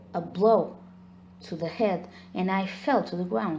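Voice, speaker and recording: A woman talks at a very slow pace. Background noise is noticeable. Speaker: ASMR storyteller. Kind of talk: ASMR horror story narration.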